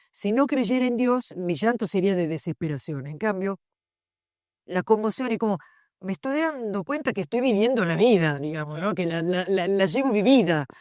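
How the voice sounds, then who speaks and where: A woman speaks at a moderate pace in a medium pitch, her pitch swinging very widely. The recording is very clean, with a silent background. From southern Italy. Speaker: philosophy professor. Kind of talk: panel discussion at book launch.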